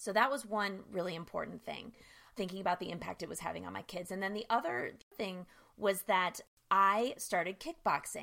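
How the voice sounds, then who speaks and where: With an American accent and vocal fry, a woman talks at a fairly quick pace and a medium pitch in a bright, sharp tone with ordinary pitch variation, recorded very cleanly against a silent background. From US East Coast (New Jersey, Philadelphia area, Bronx). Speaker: sobriety coach. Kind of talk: interview.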